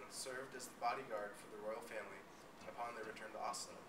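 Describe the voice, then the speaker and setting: A man rattles along at a very fast pace while noticeable background noise carries on behind him. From Alaska. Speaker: college student. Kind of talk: student presentation. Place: classroom. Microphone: camera far.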